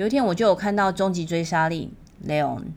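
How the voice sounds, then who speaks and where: A woman speaks in a fairly low pitch with ordinary variation. There is audible room echo. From Taiwan. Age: 40s. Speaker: podcast host. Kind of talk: solo podcast monologue.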